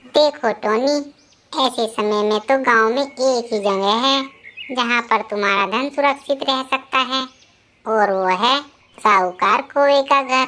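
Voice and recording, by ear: Using a cartoonish character voice, a woman speaks at a high pitch and moderate pace with very even loudness.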